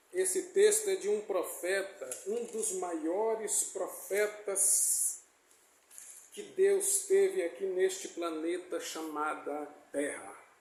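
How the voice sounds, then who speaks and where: Speaking at a very slow pace, a man is heard with audible room echo. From Brazil, Bahia (Itabuna/Ilhéus area). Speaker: preacher. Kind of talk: sermon. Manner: halting.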